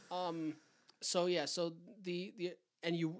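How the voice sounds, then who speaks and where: With a Canadian accent, a man is talking. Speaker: podcast co-host. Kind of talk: casual chat.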